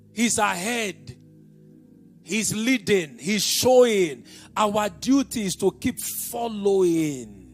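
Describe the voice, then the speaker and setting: Over music in the background, a man with a high pitch speaks at a very slow pace with lively intonation. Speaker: pastor, preacher. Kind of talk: sermon.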